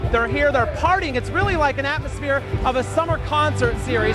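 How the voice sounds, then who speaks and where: A man talking at a very fast pace over background music. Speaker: TV news reporter and anchor. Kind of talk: TV news package voiceover, scripted anchor-style delivery.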